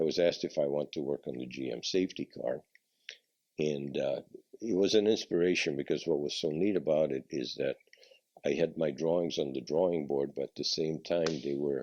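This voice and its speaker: Pitch moves with ordinary variation. Speech proceeds at a moderate pace. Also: man. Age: 80s+. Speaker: car designer. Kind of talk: interview answer.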